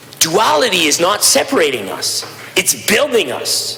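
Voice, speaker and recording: A man talks. Background noise is clearly audible. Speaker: provincial legislator. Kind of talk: legislative debate speech. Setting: legislative chamber. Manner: halting, repeats words.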